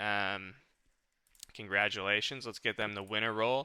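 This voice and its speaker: The recording is very clean with a silent background. Intonation stays fairly even. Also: man. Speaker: game community manager hosting AMA. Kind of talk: live stream AMA wrap-up. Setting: live stream. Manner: casual, many fillers. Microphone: new mic with noise cancellation.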